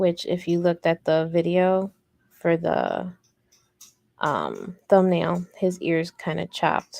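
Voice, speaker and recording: A woman speaks at a very slow pace with an American accent, her voice dry and close with no echo. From Chicago, US Midwest. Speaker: crochet youtuber. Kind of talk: live crochet tutorial stream. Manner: monotone.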